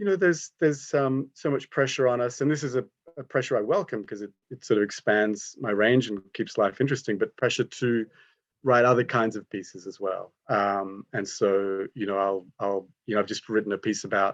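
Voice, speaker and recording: Speaking at a moderate pace with an Australian accent, a man uses a medium pitch and ordinary pitch variation in a dry, close sound with no echo. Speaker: art critic. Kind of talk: panel discussion.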